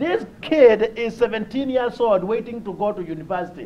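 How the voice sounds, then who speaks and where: A man speaks with a Kenyan accent at a high pitch. His intonation is lively and his pace moderate. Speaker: humanitarian speaker. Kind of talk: conference talk with personal stories.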